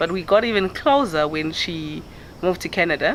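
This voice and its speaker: Noticeable noise sits in the background. Over it, a woman talks. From KwaZulu-Natal, South Africa. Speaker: banker. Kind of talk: documentary interview answer.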